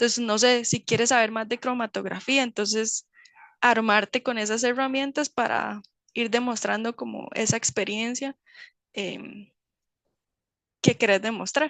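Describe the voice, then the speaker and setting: A woman speaks at a fairly slow pace with long, frequent pauses and fairly even intonation. The sound is dry and close with no echo, over a quiet background. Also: fairly high pitch for a woman. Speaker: chemist in medical device industry. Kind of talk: webinar Q&A talk. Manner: hesitant, many fillers.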